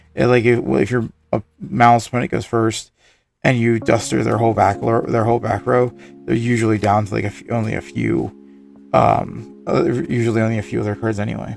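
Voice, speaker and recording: Music plays in the background as a man talks with a medium pitch and lively intonation. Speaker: card game content creator. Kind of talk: casual talk to camera.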